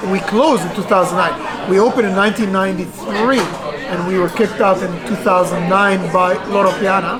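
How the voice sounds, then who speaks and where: A woman talks at a fairly quick pace with hardly any pauses. Crowd noise fills the background, and the room echo is audible. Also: medium pitch for a woman, ordinary pitch variation. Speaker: restaurant owner. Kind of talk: interview. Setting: in a restaurant. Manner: halting, many fillers.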